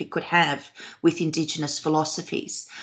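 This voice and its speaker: Australian-accented speech from a woman, over a quiet background. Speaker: professor. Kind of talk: Q&A after academic talk. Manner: hesitant, many fillers.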